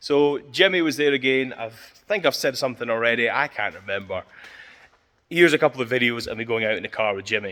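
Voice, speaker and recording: A man with a Scottish accent, medium pitch, lively intonation, a bright, sharp tone and a very fast pace. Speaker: car enthusiast vlogger. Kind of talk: casual vlog talk. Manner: mumbling.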